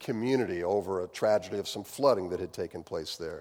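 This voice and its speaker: With a Midwestern American accent, a man talks at a fairly quick pace in a fairly low pitch and fairly even intonation. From US Midwest. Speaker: pastor. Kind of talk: sermon. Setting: church.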